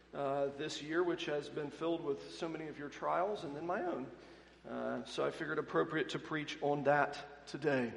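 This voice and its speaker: Amid noticeable background noise and audible room echo, a man with a slight Southern accent speaks at a moderate pace in a fairly high pitch with fairly even intonation. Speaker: pastor. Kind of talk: sermon. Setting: church pulpit.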